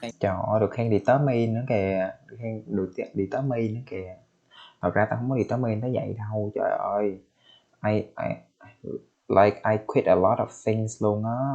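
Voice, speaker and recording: A man with a Vietnamese accent speaks at a moderate pace in a dark, mellow tone and a fairly low pitch. His intonation is fairly even, and the background is quiet. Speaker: English learner. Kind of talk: language practice conversation with commentary. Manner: halting.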